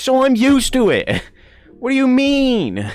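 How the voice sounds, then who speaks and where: A man talks in an animated tone with an American accent. Music runs in the background. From Ireland, Gweedore (Donegal). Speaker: streamer. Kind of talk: casual chat. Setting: live stream.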